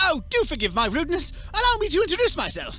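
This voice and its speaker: An upbeat, put-on character voice rattles along at a very fast pace. Clear music plays in the background. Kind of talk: old-fashioned genteel politeness. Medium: video game. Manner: polite, chatty, upbeat.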